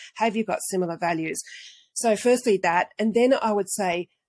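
A woman with an Australian accent talks at a moderate pace in a medium pitch with ordinary pitch variation, the sound dry and close with no echo. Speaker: marketing consultant.

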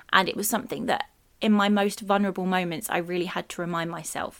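A woman in a British accent, medium-pitched, fairly quick and fairly even in intonation, on a very clean recording with a silent background. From UK. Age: 30s. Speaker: podcast host. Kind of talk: personal monologue.

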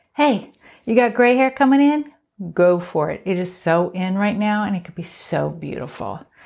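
At a moderate pace, a woman with an unremarkable speaking voice talks at medium pitch with lively intonation. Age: 50s. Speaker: beauty podcast host, hairstylist. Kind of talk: solo podcast tips monologue. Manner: casual, conversational.

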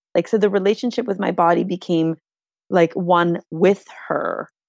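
In a Canadian accent, a woman with an ordinary speaking voice talks at a moderate pace and medium pitch, her intonation fairly even and the sound dry and close with no echo. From Canada. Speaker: spiritual movement teacher and mother. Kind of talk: casual interview chat.

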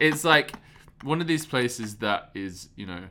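With a London accent, a man speaks in a bright, sharp tone with lively intonation. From London, England. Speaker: podcast co-host, touring theater actor. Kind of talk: casual chat. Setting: backstage at theater during intermission.

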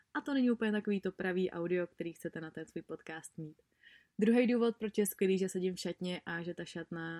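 The tone is dark and mellow, with ordinary pitch variation. The sound is dry and close with no echo, on a very clean recording with a silent background. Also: woman. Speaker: podcast host and blogger. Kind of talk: casual monologue. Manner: fast; animated.

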